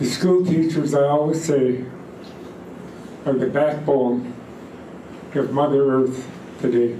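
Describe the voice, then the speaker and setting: Amid noticeable background noise and audible room echo, a man speaks very slowly with long, frequent pauses, fairly even intonation and very even loudness. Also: fairly high pitch for a man. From British Columbia, Fraser River area. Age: 80s+. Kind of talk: storytelling talk to gathering.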